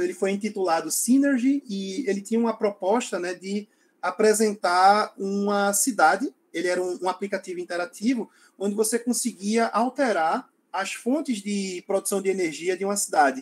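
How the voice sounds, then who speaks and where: High-pitched speech from a man, with ordinary pitch variation. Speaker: lecturer on environmental education technology. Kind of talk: online lecture. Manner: halting, many fillers.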